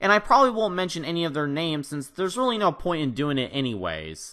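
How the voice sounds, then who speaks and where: A loud man talks at a high pitch with very wide swings and a bright, sharp tone. The background is quiet. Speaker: gaming youtuber. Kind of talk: youtube call-out commentary.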